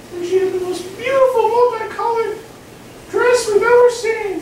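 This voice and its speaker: Doing a put-on character voice, a woman squeaks at an extremely high pitch and a moderate pace, with a slight echo and light background noise. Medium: stage play. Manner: excited, exasperated.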